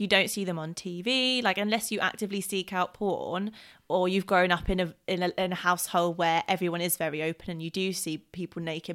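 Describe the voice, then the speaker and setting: Here is a woman with an ordinary speaking voice, medium in pitch and fairly even in intonation. She talks at a fairly quick pace with hardly any pauses, on a very clean recording with a silent background. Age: 20s. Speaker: podcast host. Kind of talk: casual chat.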